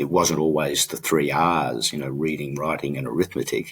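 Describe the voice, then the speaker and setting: A man talks at a fairly quick pace. His very deep, low voice carries vocal fry. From Australia and US (Illinois, California, Oregon). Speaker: businessman. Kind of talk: interview. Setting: podcast.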